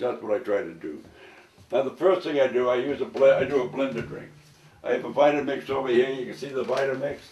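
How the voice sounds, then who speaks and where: Noticeable background noise sits under a man who talks at a fairly quick pace, with ordinary pitch variation and big swings in loudness. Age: 80s+. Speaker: raw food enthusiast. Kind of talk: cooking demonstration. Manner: halting.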